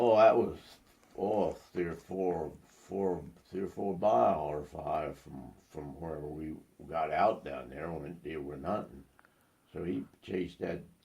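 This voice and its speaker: A man's very deep, low voice with vocal fry, at a very slow pace in an American accent. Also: ordinary pitch variation, big swings in loudness. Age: 80s+. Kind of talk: casual storytelling, family interview.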